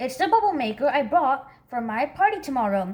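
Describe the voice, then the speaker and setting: A woman's put-on character voice, high-pitched, at a fairly quick pace. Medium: read story. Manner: warm, doting.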